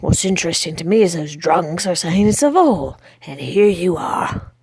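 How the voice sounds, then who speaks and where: A woman's raspy, put-on character voice at a fairly low pitch. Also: moderate pace. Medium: read story. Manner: growling, blunt.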